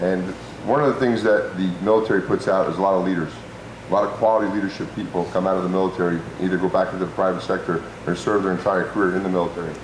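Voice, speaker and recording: A man's very deep, low voice at a very fast pace, very even in loudness and fairly even in intonation, with audible room echo and noticeable background noise. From New Jersey (Parsippany). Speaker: political candidate. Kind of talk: debate opening statement.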